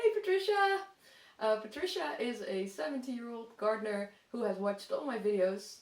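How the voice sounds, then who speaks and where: A woman speaks with a Dutch accent at a moderate pace. Noticeable background noise runs behind her. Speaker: gardening vlogger. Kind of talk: casual vlog talk.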